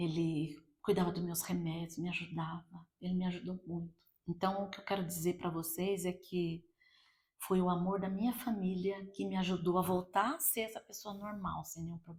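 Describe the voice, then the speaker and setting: At a moderate pace, a woman with a medium-pitched voice speaks with fairly even intonation. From Brazil, Campinas, São Paulo. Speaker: church speaker giving testimony. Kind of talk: testimony.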